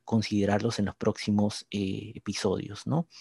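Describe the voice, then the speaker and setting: A man's fairly low, dark, mellow voice in monotone, flat intonation at a moderate pace, with a dry, close sound, no echo and a quiet background. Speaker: podcast co-host, industrial engineer. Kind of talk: casual chat.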